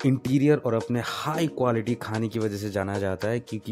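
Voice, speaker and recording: With faint music in the background, a man speaks at a moderate pace and a fairly low pitch, showing ordinary pitch variation. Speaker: food vlogger. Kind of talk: casual vlog narration.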